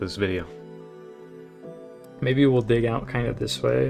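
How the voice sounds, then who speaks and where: With music playing in the background, a man speaks in a relaxed tone. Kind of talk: casual gameplay commentary. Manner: casual, relaxed.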